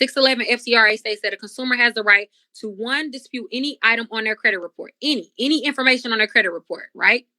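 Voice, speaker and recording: A woman talks very fast in a high, bright and sharp voice with ordinary pitch variation. The sound is dry and close with no echo, and the recording is very clean over a silent background. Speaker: credit repair specialist. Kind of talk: educational talk.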